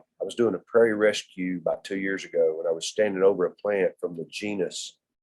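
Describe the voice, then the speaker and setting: With a Texan accent, a man speaks at a moderate pace. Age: 60s. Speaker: native plant instructor. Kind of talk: lecture. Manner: animated.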